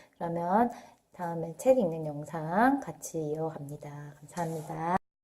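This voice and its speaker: Using lively intonation, a woman with an unremarkable speaking voice and a fairly low pitch talks at a fairly slow pace. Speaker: parenting vlogger. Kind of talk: casual talk to camera. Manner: conversational with fillers.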